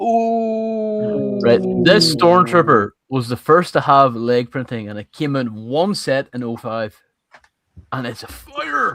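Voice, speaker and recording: Over music in the background, a man of medium pitch speaks very slowly, with very wide pitch swings and big swings in loudness. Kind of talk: casual chat. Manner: animated.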